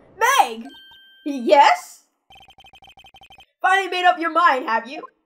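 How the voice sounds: A put-on character voice at an extremely high pitch and fairly slow pace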